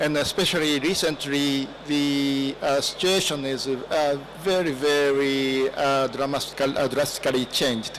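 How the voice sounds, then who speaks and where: A man with a Japanese accent speaks very slowly, barely pausing, his fairly high voice keeping a very even loudness and fairly even intonation. Noticeable background noise sits behind him. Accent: Japanese accent in English and Greek. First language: Japanese (speaking Greek). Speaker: ambassador. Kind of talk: formal speech at seminar. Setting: seminar with audience. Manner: halting, many fillers.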